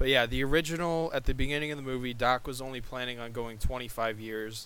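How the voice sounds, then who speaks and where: Speaking at a fairly quick pace, a man with an ordinary speaking voice keeps a medium pitch. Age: 20s. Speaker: podcast co-host. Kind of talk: casual chat.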